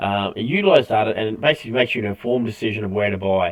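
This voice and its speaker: Pitched fairly low, a man's voice moves through an ordinary range of pitch. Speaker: crypto trading instructor. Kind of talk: online tutorial. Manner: fast; halting, many fillers.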